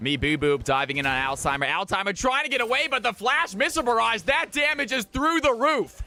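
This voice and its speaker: A man shouts in a raised, projected, animated voice with an extremely high pitch and a bright, sharp tone. He goes at a fairly quick pace with hardly any pauses, his pitch swinging very widely while his loudness stays very even. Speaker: streamer and shoutcaster. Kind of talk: live esports commentary. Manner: loud, yelling; fast, animated.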